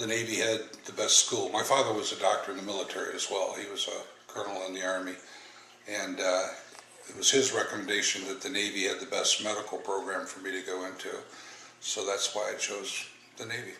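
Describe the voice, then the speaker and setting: A man with an American accent speaks at a fairly quick pace, his loudness swinging widely. The room echo is audible and the background noise is noticeable. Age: 60s. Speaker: navy veteran. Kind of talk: oral history interview. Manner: hesitant with fillers.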